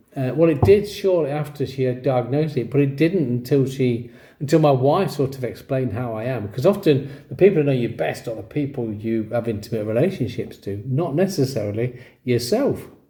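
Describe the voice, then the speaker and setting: Somewhat breathy, a man with an English accent has a dark, mellow tone and lively intonation. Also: medium pitch for a man, fairly quick pace. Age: 60s. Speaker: vlogger with ADHD, former teacher. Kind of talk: personal story to camera. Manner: casual, self-correcting.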